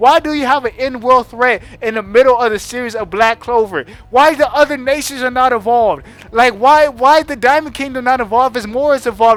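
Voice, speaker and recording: Loud and fairly quick, a man speaks at an extremely high pitch with ordinary pitch variation. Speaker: anime reviewer youtuber. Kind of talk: casual rant. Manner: animated.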